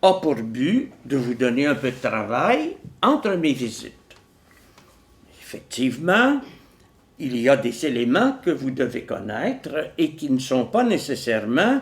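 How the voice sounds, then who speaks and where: Lively intonation marks this man's fairly high voice. He speaks at a very slow pace with long, frequent pauses. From Quebec, Montreal. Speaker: philosopher and author. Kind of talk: lecture. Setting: stage with audience. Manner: calm.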